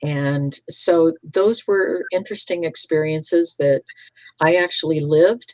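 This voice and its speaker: A woman with a very deep, low pitch and ordinary pitch variation speaks in a dry, close sound with no echo. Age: 70s. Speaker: author and retired teacher. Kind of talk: interview.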